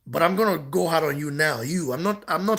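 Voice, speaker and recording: Speech comes at a very fast pace in an animated tone, on a very clean recording with a silent background. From Nigeria. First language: not English. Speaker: boxing channel host. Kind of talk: heated rant responding to comments. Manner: repetitive, animated.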